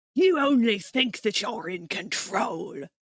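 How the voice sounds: A growling, put-on character voice, fairly high in pitch, moves at a fairly slow pace. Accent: British.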